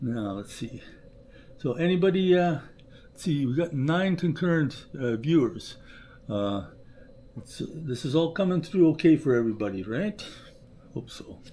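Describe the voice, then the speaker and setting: A man speaks at a moderate pace, his fairly high voice somewhat breathy with a dark, mellow tone. His intonation is lively, broken by long, frequent pauses. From Canada. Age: 60s. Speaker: trapper and channel owner. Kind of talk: casual livestream chat. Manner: halting, many fillers.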